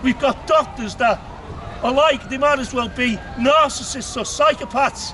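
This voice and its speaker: Over noticeable background noise, a man with a Liverpool accent speaks at a moderate pace in an extremely high pitch. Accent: Scouse (Liverpool). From Liverpool, England. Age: 60s. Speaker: street speaker. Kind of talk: public speech. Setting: outdoors in a park with crowd. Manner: animated.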